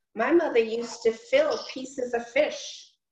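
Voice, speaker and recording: At a very slow pace, a woman speaks in a high pitch, with audible room echo and light background noise. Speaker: class participant. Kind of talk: casual chat. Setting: video call. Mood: reminiscing about childhood cooking. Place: home room. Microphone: video call.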